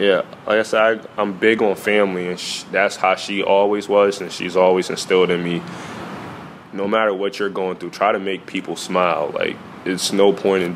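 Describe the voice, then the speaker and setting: Over noticeable background noise, a man with an American accent talks at a fairly quick pace in a very deep, low voice and a monotone, flat delivery. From New York, Newburgh. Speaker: college basketball player. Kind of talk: interview answers.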